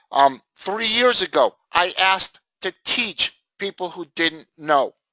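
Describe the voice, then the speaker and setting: At a very slow pace, a man speaks in a raised, projected, high voice with a bright, sharp tone and lively intonation, the sound dry and close with no echo. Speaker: trading educator. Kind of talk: live trading class. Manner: loud; casual, conversational.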